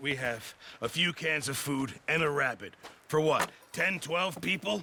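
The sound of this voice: Put-on character voice from a man, fairly high in pitch with a bright, sharp tone. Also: ordinary pitch variation, fairly slow pace.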